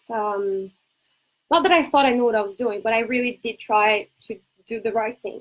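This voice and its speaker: Her pitch high for a woman, she speaks with a Brazilian accent at a moderate pace with ordinary pitch variation. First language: Portuguese. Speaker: ADHD coach and entrepreneur. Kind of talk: casual talk to camera.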